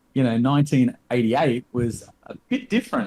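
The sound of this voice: A man talks at a moderate pace with a medium pitch and ordinary pitch variation. His tone is slightly mellow with a slightly husky edge.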